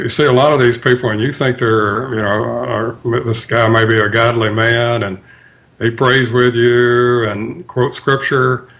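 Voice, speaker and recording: Medium pitch from a man with a Mississippi accent, fairly even intonation and a fairly slow pace. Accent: Mississippi accent, smooth. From US South, Tupelo, Mississippi. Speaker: author. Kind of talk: radio interview. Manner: halting, many fillers.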